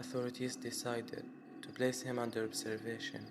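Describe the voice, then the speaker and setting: A man speaks at a moderate pace. Audible room echo and noticeable background noise accompany him. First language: not English. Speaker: mystery story narrator. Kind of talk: scripted narration.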